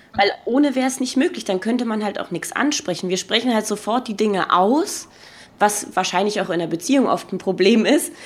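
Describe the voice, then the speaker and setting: A woman's normal speaking voice, fairly high in pitch, with lively intonation. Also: fairly quick pace. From Berlin. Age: 20s. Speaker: podcaster. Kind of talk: casual chat.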